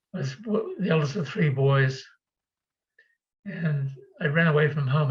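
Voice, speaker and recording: A somewhat breathy man speaks at a fairly high pitch. His pace is moderate and his pitch variation ordinary. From New Zealand. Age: 70s. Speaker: spiritual teacher and speaker. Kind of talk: online talk with Q&A. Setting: video call. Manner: halting, frequent self-corrections.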